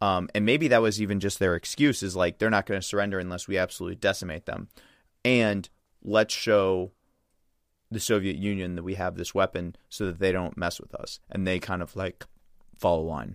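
Spoken with an American accent, the delivery comes at a fairly quick pace with fairly even intonation. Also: man, very deep, low pitch for a man, very clean recording, silent background. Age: 20s. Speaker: jiu-jitsu competitor. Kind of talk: casual chat. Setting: studio.

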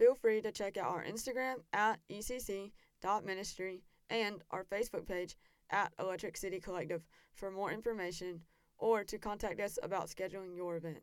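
This woman has an ordinary speaking voice at a medium pitch, talking at a moderate pace with fairly even intonation and an American accent. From US South, South Carolina. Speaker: podcast host, student. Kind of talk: casual interview.

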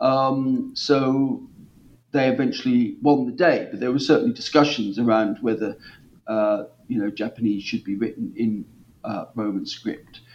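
At a moderate pace, a man talks with an East Anglian accent. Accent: English (East Anglia). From East England. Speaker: historian of language. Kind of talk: interview.

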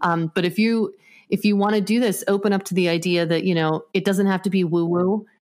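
A woman with a plain, everyday voice, medium pitch, fairly even intonation, fairly quick pace and very even loudness, on a very clean recording with a silent background. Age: 40s. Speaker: acupuncturist and spiritual healer. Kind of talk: interview.

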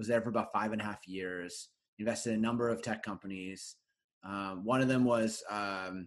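A man with an unremarkable speaking voice and a Canadian accent, fairly low in pitch, at a moderate pace. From Canada, Winnipeg, Manitoba. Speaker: venture investor and author. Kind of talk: casual interview conversation.

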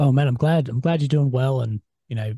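A man with an Australian accent speaks fairly quickly at medium pitch with ordinary variation, his dark, mellow voice somewhat breathy in a dry, close sound with no echo. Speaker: podcast host. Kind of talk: interview. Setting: video call.

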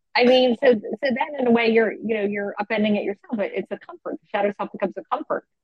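A woman with an American accent talks at a very fast pace, with hardly any pauses. Her voice is fairly high and somewhat breathy, with ordinary pitch variation. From Philadelphia. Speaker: author. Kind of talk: interview.

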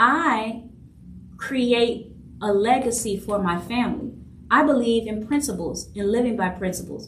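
With audible room echo and noticeable background noise, a woman speaks at a fairly slow pace in a fairly high voice with ordinary pitch variation. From New Orleans, Louisiana. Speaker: podcast host, leadership coach and author. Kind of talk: solo monologue podcast.

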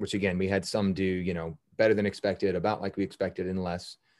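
With an American accent, a man talks at a fairly quick pace in a fairly low, monotone voice with flat intonation over a quiet background. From US South, New Orleans. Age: 40s. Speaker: youth futsal coach. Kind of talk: casual chat. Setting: video call.

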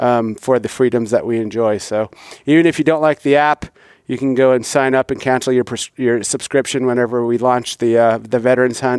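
Fairly quick and with fairly even intonation, a man speaks at medium pitch in an ordinary speaking voice. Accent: American. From US Midwest. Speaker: military officer and hunting app founder. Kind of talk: casual chat.

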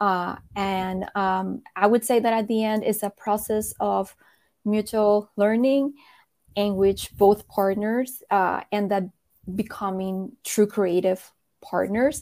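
A woman speaks at a very slow pace with a medium pitch and fairly even intonation, in a very clean recording with a silent background. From Colombia. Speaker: game publisher executive. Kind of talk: conference fireside chat.

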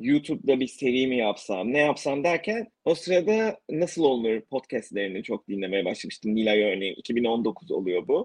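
With hardly any pauses, a man talks at a moderate pace and a medium pitch, his pitch swinging very widely. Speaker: podcaster interviewing emigrants. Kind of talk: casual interview chat.

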